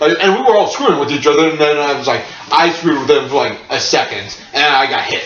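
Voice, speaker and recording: A fairly high-pitched man at a fairly quick pace, with noticeable background noise and audible room echo. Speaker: podcast host. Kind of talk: casual chat. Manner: halting.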